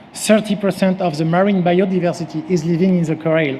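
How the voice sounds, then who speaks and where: Amid noticeable background noise, a speaker with a strong French accent talks at a moderate pace with fairly even intonation. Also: man. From France. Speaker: company CEO and former sailing champion. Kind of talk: conference presentation. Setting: stage with audience. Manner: halting, with frequent fillers.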